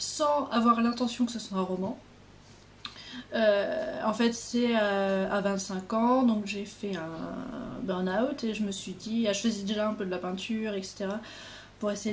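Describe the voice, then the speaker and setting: Audible room echo surrounds a woman speaking at a medium pitch and fairly slow pace with ordinary pitch variation. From Normandy, France. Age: 20s. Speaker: author. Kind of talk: casual interview by phone.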